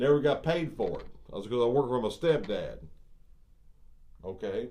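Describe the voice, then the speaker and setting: A man at a moderate pace, with audible echo in the room. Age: 60s. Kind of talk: video monologue rant. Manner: animated, halting with repetitions.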